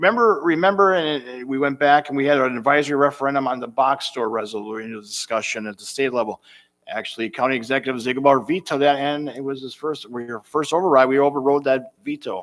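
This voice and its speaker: On a very clean recording with a silent background, a man with a normal speaking voice and an American accent talks at a fairly quick pace, with a fairly high pitch, ordinary pitch variation and big swings in loudness. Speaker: county board chair. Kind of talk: public meeting debate.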